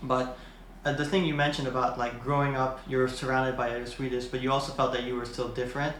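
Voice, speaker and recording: Speaking at a very fast pace, a man uses a medium pitch with monotone, flat intonation. Noticeable background noise and audible room echo are present. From Philippines. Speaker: podcast host. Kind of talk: casual interview.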